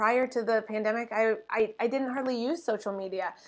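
Over a very clean recording with a silent background, a woman speaks at a fairly high pitch with fairly even intonation. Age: 30s. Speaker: holistic nutritionist and podcaster. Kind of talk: casual interview chat. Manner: halting, frequent fillers and repeats.

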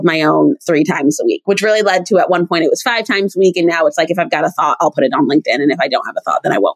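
The delivery is very fast, with lively intonation. The sound is dry and close with no echo. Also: woman. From New England. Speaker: HR executive and DEI advocate. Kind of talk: interview conversation.

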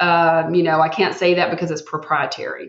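A woman speaks with a Texan accent and a fairly low pitch. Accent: Southern US (Texan). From Texas. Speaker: healthcare executive. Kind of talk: casual interview chat.

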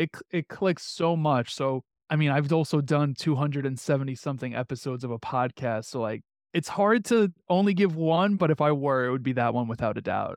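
A man with an American accent and a plain, everyday voice, fairly high in pitch, at a moderate pace with ordinary pitch variation, in a dry, close sound with no echo over a quiet background. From New York, Queens. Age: 30s. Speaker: podcast host and entrepreneur. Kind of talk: interview.

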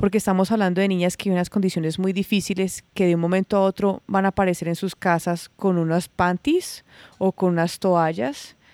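On a very clean recording with a silent background and a dry, close sound with no echo, a woman speaks at medium pitch and a moderate pace, her tone dark and mellow and her intonation fairly even. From Colombia, rural Risaralda. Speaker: industrial designer and social entrepreneur. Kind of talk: interview.

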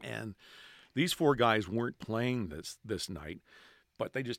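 A man with a Cape Breton accent speaks at a fairly low pitch and moderate pace with lively intonation. The recording is very clean with a silent background and a dry, close sound with no echo. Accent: Cape Breton Canadian English. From Cape Breton, Nova Scotia. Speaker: hockey PA announcer. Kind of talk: casual chat. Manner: animated.

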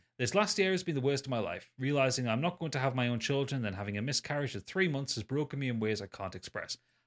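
Speaking very fast with lively intonation, a man with a British accent has a medium pitch. The recording is very clean, with a silent background. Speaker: podcast co-host. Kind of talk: casual chat.

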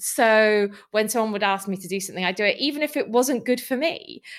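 Fairly quick speech from a woman in a Welsh accent, fairly high in pitch with ordinary pitch variation. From South Wales. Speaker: nonprofit CEO and political campaigner. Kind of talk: interview.

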